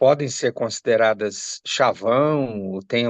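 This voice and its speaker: The recording is dry and close with no echo, capturing a man with an unremarkable speaking voice, medium in pitch, with ordinary pitch variation. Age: 60s. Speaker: lawyer. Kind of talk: interview.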